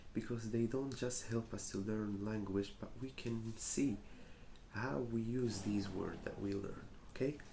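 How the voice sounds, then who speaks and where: A man's fairly low, dark, mellow voice at a fairly slow pace, with fairly even intonation and audible room echo. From Morocco. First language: Arabic. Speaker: English teacher. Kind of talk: teaching a class. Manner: hesitant, many fillers.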